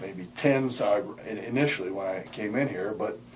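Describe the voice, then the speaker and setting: There is audible room echo and noticeable background noise. A man talks at a moderate pace with ordinary pitch variation. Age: 70s. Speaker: patient, retired chemist. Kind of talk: testimonial interview. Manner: halting, many repetitions.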